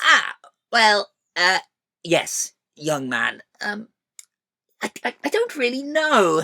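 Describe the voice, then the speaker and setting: A put-on character voice with a fairly high pitch goes very slowly, broken by long, frequent pauses. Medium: read story. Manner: hesitant, rambling.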